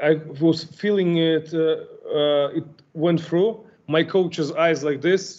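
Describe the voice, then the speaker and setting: A man's high-pitched voice with a non-native accent. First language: not English. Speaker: kickboxer. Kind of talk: interview. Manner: halting.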